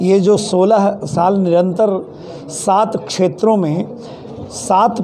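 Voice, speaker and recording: Audible room echo and noticeable background noise around a high-pitched man with ordinary pitch variation. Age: 70s. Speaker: award organization organizer. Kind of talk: interview at award event.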